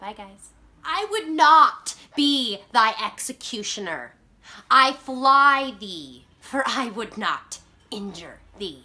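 Using a put-on character voice, a woman projects a high, raised voice at a very slow pace with very wide pitch swings. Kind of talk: classical theatre monologue.

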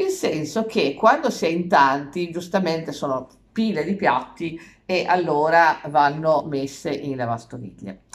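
A woman with a very deep, low pitch speaks against a quiet background. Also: fairly slow pace. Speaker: vlogger. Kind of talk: casual vlog chat. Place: kitchen. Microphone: phone near.

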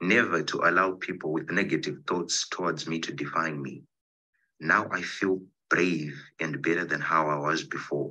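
Over a quiet background, a man talks at a moderate pace in a very deep, low voice with a bright, sharp tone and ordinary pitch variation. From Zimbabwe. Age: 20s. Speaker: poet. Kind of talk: poetry reading. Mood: earnest, reflective. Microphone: video call.

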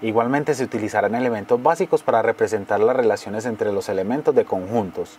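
Through noticeable background noise, a man speaks very fast with lively intonation. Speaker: voice-over narrator. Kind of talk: educational course narration.

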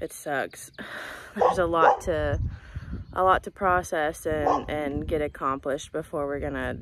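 A woman speaks at a moderate pace over noticeable background noise, the sound dry with no echo. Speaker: ranch vlogger. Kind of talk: casual vlog chat. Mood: somber, subdued. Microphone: phone near.

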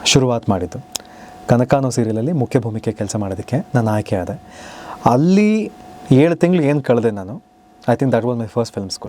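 The speech has lively intonation, heard over noticeable background noise. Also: man, medium pitch for a man. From Bangalore, Karnataka, India. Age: 30s. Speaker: TV serial actor. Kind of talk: interview.

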